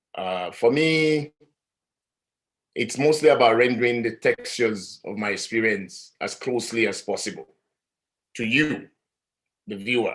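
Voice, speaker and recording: Delivered at a moderate pace, this voice carries an African accent and lively intonation. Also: man. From Nigeria. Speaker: artist. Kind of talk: panel discussion. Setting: live-streamed talk.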